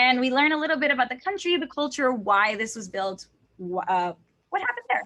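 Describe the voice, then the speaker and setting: A woman's high, bright, sharp voice with a Spanish accent, fairly quick pace and very wide pitch swings. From Texas. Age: 20s. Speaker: language teacher. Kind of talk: interview.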